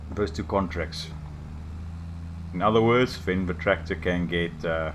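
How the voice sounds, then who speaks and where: A man's very deep, low voice at a fairly slow pace, with fairly even intonation and audible room echo. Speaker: gaming YouTuber. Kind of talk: gameplay commentary. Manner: casual, halting.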